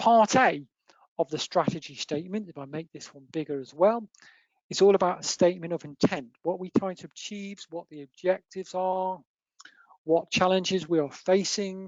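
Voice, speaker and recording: Here a woman speaks with an English accent at medium pitch. Her pace is moderate and her pitch variation ordinary. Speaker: accountancy firm partner presenting webinar. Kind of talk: webinar presentation. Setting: online webinar.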